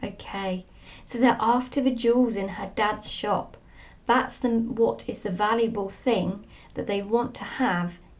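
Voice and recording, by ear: A natural voice, reading aloud.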